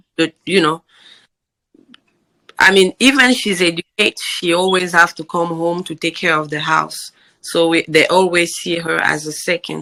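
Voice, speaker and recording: In a strong African accent, a bright, sharp voice with vocal fry keeps a fairly even intonation, the sound dry and close with no echo. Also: woman, fairly low pitch for a woman. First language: African native language. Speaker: podcast guest, immigrant mother. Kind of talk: casual interview chat. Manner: deliberately slow.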